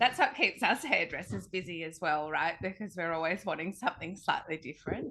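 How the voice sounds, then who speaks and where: Against noticeable background noise, a woman with a fairly low pitch talks with lively intonation and hardly any pauses. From Australia (Sydney). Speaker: hair colour educator. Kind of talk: interview podcast.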